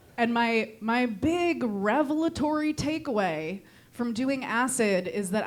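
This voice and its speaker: With a Connecticut accent, the speaker goes at a fairly slow pace with very wide pitch swings over noticeable background noise. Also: woman. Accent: Connecticut accent, sounds condescending. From Connecticut, New England. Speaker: stand-up comedian. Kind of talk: stand-up. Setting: comedy club stage with audience. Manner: insincere-sounding, condescending tone; halting with fillers.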